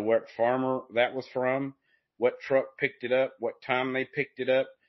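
The speaker talks at a moderate pace with an Appalachian accent. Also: man. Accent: Southern US, Appalachian. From Appalachian foothills, US South. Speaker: podcast host. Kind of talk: casual interview.

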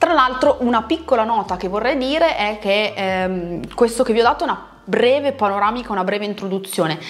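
Animated and fairly quick, the speaker barely pauses, using lively intonation over noticeable background noise. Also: woman, fairly high pitch for a woman. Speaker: pole dance instructor. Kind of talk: video talk to followers.

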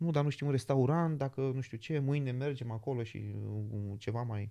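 At a moderate pace, a man with a dark, mellow tone speaks in a very clean recording with a silent background. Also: dry, close sound with no echo. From Romania, Giurgiu. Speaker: magician. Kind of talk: casual interview. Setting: in London.

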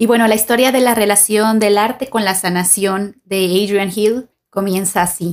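Speaking in a plain, everyday voice with hardly any pauses, a woman keeps a moderate pace, fairly even intonation and very even loudness on a very clean recording with a silent background. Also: medium pitch for a woman. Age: 30s. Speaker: podcast host, art student and artist. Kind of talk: scripted narration. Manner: formal.

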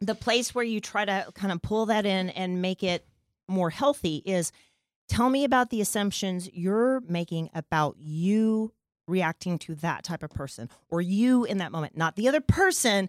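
An ordinary speaking voice from a woman, medium in pitch with lively intonation at a moderate pace, in a very clean recording with a silent background and a dry, close sound with no echo. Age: 40s. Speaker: sex therapist. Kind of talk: casual chat.

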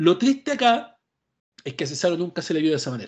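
A very fast, animated voice in a Chilean accent over a quiet background. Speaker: podcast host. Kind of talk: casual chat.

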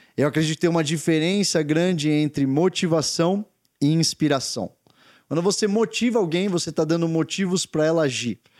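The delivery is energetic and fairly quick, with very even loudness and ordinary pitch variation, captured in a dry, close sound with no echo on a very clean recording with a silent background. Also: man, fairly high pitch for a man. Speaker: podcast host, leadership speaker. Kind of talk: motivational talk.

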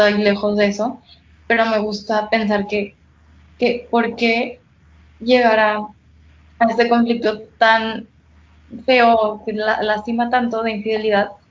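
Speaking at a very slow pace with long, frequent pauses, a woman uses a fairly high pitch and a monotone, flat intonation. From Mexico (Guadalajara). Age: 20s. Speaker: psychology student. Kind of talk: casual chat.

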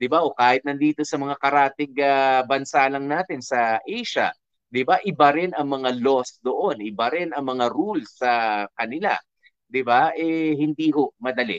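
A man speaks fairly slowly at a fairly high pitch with ordinary pitch variation. The sound is dry and close, with no echo. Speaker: radio DJ reading listener letters. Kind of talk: radio advice commentary. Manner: hesitant with frequent fillers.

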